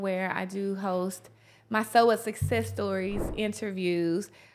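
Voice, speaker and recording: Speaking at a fairly slow pace, a woman with a Southern US accent keeps a medium pitch and fairly even intonation. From US South, Tennessee. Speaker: motivational speaker and author. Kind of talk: interview.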